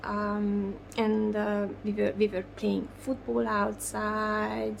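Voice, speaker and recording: A woman with a Hungarian accent speaks at a very slow pace over noticeable background noise. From Hungary, Budapest. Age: 40s. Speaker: doll artist. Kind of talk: interview. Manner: halting.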